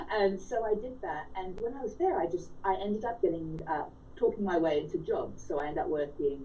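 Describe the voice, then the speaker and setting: With audible room echo, a woman speaks at a moderate pace in an Australian accent. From rural Australia. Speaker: author. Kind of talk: radio interview. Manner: animated.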